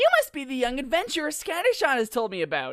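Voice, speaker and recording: A put-on character voice, female-sounding and high in pitch, carries a cheerful tone. It races along at a very fast pace. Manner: hyper, cheerful, beaming.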